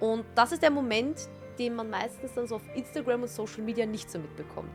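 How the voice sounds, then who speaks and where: Fairly high-pitched speech from a woman at a fairly quick pace, with music in the background. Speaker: TV and event host. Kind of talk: personal vlog talk to camera.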